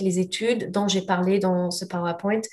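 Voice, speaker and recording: Her intonation is monotone and flat. The woman has a slight non-native accent. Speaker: lab representative presenting products to naturopaths. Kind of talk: webinar product presentation. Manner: clear; hesitant, many fillers.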